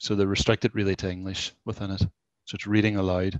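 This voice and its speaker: The man's fairly low voice comes through dry with no echo against a quiet background. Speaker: college tech-enhanced learning mentor presenter. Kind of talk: live software demo presentation. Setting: video call with screen share. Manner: informal, conversational. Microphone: headset.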